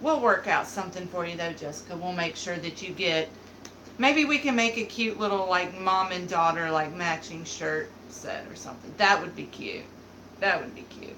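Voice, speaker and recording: With a Southern accent, a woman at medium pitch speaks at a moderate pace with lively intonation, amid noticeable background noise and audible room echo. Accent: Southern, mild. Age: 30s. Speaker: beauty vlogger. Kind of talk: casual live-stream chat. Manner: animated.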